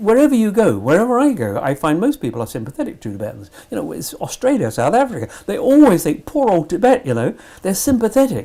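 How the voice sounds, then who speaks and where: A man with a British accent at a very fast pace, with hardly any pauses. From Britain. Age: 80s+. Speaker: Tibet supporter. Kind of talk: interview. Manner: halting.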